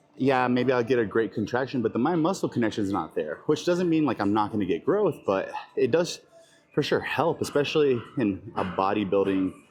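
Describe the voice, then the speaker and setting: With music in the background, a man talks at a fairly quick pace. His medium-pitched voice has lively intonation. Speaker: fitness vlogger and bodybuilder. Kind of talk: casual gym vlog. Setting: gym. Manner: halting, stuttering.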